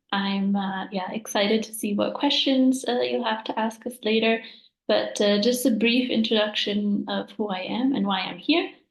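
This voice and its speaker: Somewhat breathy, fairly high female speech at a moderate pace, its pitch variation ordinary. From Italy. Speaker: environmental scientist, former researcher. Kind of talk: panel webinar self-introduction. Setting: video call webinar.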